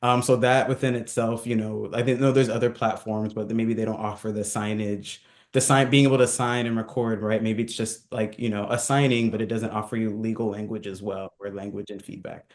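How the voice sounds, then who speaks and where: A man at medium pitch in a monotone, flat intonation, at a fairly quick pace with hardly any pauses. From Southern California. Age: 30s. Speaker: entrepreneur. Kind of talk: interview. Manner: casual, hesitant with many fillers.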